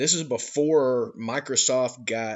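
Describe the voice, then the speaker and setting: A man talks at a medium pitch. He speaks with a Georgia Appalachian accent. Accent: Southern US (Georgia Appalachian). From US South, North Georgia Appalachian mountains. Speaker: podcast host. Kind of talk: monologue commentary. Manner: animated.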